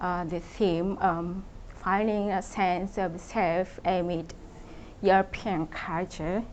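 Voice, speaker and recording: Using monotone, flat intonation, a woman with a Japanese accent speaks at a very slow pace. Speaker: contemporary artist. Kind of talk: public talk. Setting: event with audience. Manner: halting, many fillers.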